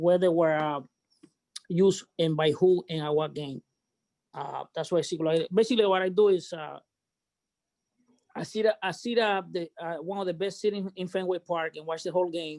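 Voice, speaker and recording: Speaking with a Cuban accent and a high pitch, a man keeps his intonation fairly even at a moderate pace with long, frequent pauses, in a dry, close sound with no echo. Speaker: baseball memorabilia authenticator. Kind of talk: casual group chat.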